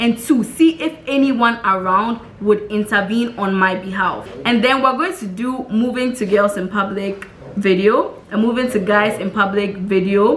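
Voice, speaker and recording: With a Ghanaian accent, a woman speaks fairly slowly in an animated tone at a fairly high pitch, amid noticeable background noise. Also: ordinary pitch variation. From Ghana, Tema. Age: 20s. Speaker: vlogger. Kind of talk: casual vlog talk.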